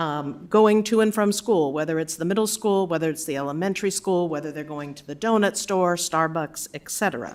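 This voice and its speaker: Speaking fairly quickly with hardly any pauses, a woman with a fairly low pitch shows ordinary pitch variation and big swings in loudness. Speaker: appellant resident speaking at council. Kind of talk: public comment at council meeting. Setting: city council chamber.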